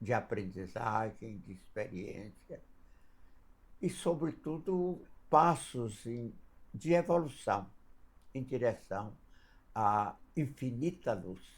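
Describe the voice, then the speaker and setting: Speaking at a very slow pace with long, frequent pauses, a man with a medium-pitched, somewhat breathy voice makes very wide pitch swings and big swings in loudness. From northern Minas Gerais, Brazil. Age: 90s. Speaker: spiritist elder. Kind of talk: interview storytelling; blessing message. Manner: halting.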